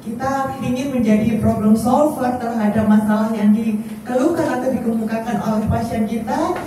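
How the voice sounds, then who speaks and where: At a moderate pace, a woman talks with a fairly high pitch and fairly even intonation, with audible room echo and noticeable background noise. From Surabaya, East Java. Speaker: doctor and clinic founder. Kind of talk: press conference speech. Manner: chatty, informal.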